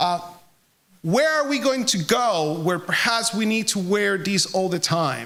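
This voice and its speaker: Someone speaks at a fairly slow pace with a Puerto Rican accent. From Puerto Rico. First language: Spanish. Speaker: charity representative. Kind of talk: speech to an audience.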